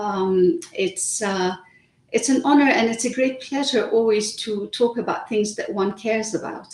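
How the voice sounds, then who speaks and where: A woman with a Lebanese accent speaks at a moderate pace, her fairly high pitch showing ordinary variation. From Lebanon. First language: Arabic. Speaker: author. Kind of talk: interview. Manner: hesitant, many fillers.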